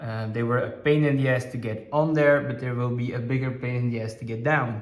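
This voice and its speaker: A man with a medium pitch talks at a fairly quick pace in a monotone, flat intonation, with audible room echo and noticeable background noise. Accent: Dutch. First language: Dutch. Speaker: aquarium hobbyist vlogger. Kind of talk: casual video update. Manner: hesitant, many fillers.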